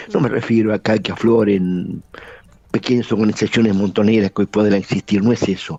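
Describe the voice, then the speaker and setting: Dark and mellow in tone and fairly low in pitch, a man speaks at a moderate pace with ordinary pitch variation, the sound dry and close with no echo. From Argentina. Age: 80s+. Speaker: lawyer and former guerrilla commander. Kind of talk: interview.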